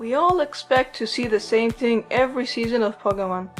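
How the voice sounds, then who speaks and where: Someone talks at a moderate pace with music playing in the background. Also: woman. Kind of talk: casual commentary to viewers. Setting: home recording with audio issues. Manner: mumbles a lot.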